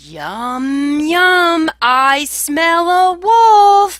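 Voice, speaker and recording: A put-on character voice bellows at an extremely high pitch. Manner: bellowing.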